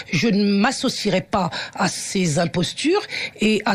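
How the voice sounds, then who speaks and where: A woman's medium-pitched voice with very wide pitch swings, over noticeable background noise. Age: 60s. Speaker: teacher and activist. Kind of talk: radio interview. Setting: radio studio. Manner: halting, many hesitations; forceful.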